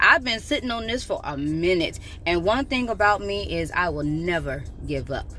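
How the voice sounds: Intonation is lively. The pace is moderate.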